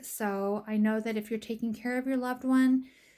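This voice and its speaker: The clip is a very clean recording with a silent background, carrying a normal speaking voice. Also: woman. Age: 60s. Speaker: family caregiver. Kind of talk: casual vlog narration.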